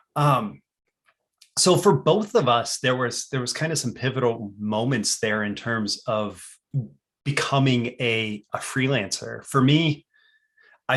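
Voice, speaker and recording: A man with a medium pitch speaks in a plain, everyday voice with ordinary pitch variation. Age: 30s. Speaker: copywriter and podcast host. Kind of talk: casual chat.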